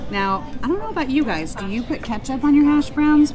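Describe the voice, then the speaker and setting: Clear background music under a woman talking at a moderate pace. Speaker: food reviewer. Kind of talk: casual vlog chat. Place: cafe.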